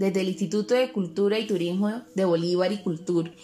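Fairly quick speech from a woman, with noticeable noise behind her. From Cartagena, Colombian Caribbean coast. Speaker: cultural correspondent and historian. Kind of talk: radio-style interview and scripted presenting.

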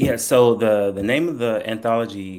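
This man speaks with a North Carolina accent. His intonation stays fairly even. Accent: Southern US, North Carolina. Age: 30s.

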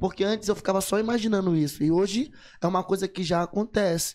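Intonation stays fairly even as a man talks at a high pitch. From São Luís, Maranhão, Brazil. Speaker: rapper. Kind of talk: casual chat. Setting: studio.

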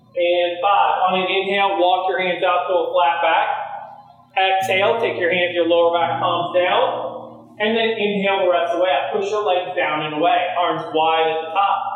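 The speech moves at a moderate pace. Noticeable background noise runs under it. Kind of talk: guided yoga class instruction, cueing poses and breath. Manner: calm, steady, imperative cueing; paced to breath with counted beats.

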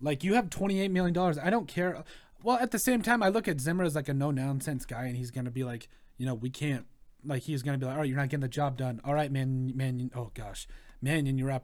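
The man talks very fast at a fairly high pitch. His intonation is lively. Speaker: sports podcast host. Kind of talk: casual chat. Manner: loud.

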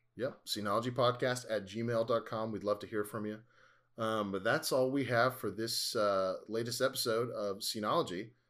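On a very clean recording with a silent background, a man at medium pitch uses a normal speaking voice, moderate pace and fairly even intonation. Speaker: podcast host. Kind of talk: casual chat.

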